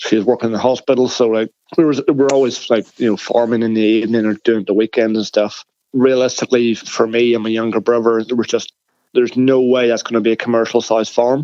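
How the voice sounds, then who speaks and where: A man talks at a very fast pace in a medium pitch. His intonation is monotone and flat. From Northern Ireland, south of Belfast. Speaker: agricultural engineer. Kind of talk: podcast interview.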